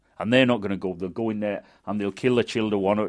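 In a Manchester accent, a man speaks at a fairly low pitch with ordinary pitch variation against a quiet background. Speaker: storyteller. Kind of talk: folk tale storytelling.

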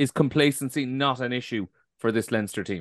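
A man speaks at medium pitch with fairly even intonation. The background is quiet, and the sound is dry and close with no echo. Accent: Irish. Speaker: podcast host. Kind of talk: podcast discussion and interview. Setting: remote call with co-panelists.

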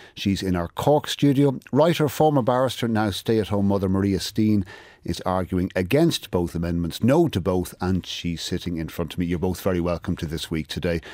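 A man with an Irish accent and a very deep, low voice, fairly quick with hardly any pauses and lively intonation, on a very clean recording with a silent background. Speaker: radio current affairs host. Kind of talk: news presenting. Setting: studio.

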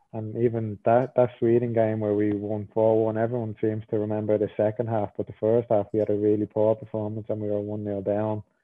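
In an Irish accent, a man speaks at a fairly low pitch. His intonation is monotone and flat. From Ireland. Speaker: professional footballer. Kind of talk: interview.

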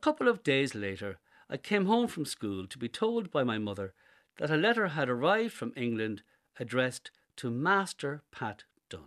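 A man with an Irish accent speaks at a moderate pace and a fairly high pitch, with very wide pitch swings and big swings in loudness. The sound is dry and close with no echo, and the background is quiet. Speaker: essay contributor. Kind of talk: reading aloud.

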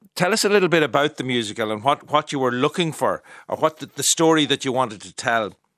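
A man with an Irish accent and a fairly high pitch talks at a very fast pace with lively intonation and big swings in loudness, in a dry, close sound with no echo. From Ireland. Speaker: radio arts programme host. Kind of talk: radio interview programme. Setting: studio.

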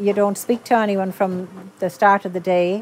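Someone speaks in an Irish accent at a fairly slow pace. Background noise is noticeable. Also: woman. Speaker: dance project participant. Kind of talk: interview. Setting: outdoors.

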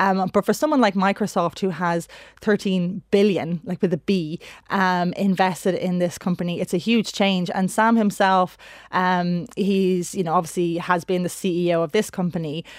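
A woman with an Irish accent speaks at a moderate pace and a medium pitch. Her intonation is fairly even, in a very clean recording with a silent background. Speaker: founder of a digital advocacy organisation. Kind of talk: radio interview.

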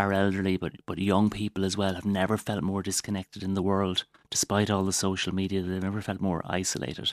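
This man's pitch is fairly low and his pace fairly quick, in a Waterford accent. The sound is dry and close, with no echo. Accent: Waterford Irish. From Waterford, Ireland. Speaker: doctor. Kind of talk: radio interview. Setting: studio.

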